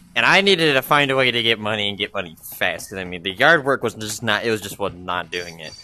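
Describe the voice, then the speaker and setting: A man's fairly low voice at a very fast pace with hardly any pauses, lively intonation and big swings in loudness, over noticeable background noise. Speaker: gaming YouTuber. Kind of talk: casual gameplay commentary. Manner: animated.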